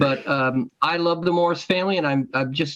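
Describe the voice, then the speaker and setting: Speaking in an American accent, a man has an unremarkable speaking voice, a moderate pace and ordinary pitch variation. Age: 60s. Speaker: golf historian and author. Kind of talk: interview. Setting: podcast recording.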